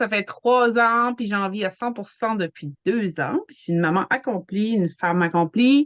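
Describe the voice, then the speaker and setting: A woman with an Acadian accent talks at a moderate pace and a medium pitch. Her intonation is lively. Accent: Acadian French, noticeable. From New Brunswick, Canada. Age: 40s. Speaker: network marketer, hockey mom. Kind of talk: casual chat.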